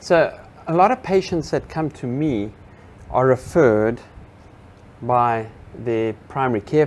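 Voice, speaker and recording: A man speaks with a South African accent at a medium pitch. He goes at a fairly slow pace, with long, frequent pauses. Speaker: physical therapist. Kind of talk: interview.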